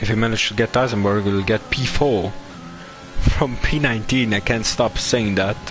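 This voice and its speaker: The speech moves at a fairly quick pace with fairly even intonation and very even loudness, over noticeable background noise. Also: man, medium pitch for a man. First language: not English. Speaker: sim racing commentator. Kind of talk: live commentary.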